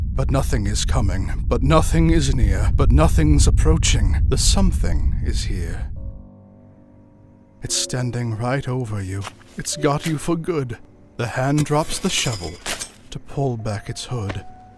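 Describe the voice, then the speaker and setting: Music runs in the background behind this man. He speaks at a fairly slow pace. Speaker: narrator. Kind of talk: Halloween poem reading.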